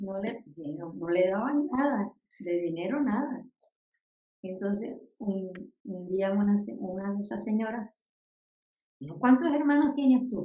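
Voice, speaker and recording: A woman with a dark, mellow, somewhat breathy voice at a medium pitch speaks at a fairly slow pace with lively intonation, big swings in loudness, and long, frequent pauses. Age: 80s+. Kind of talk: storytelling memories.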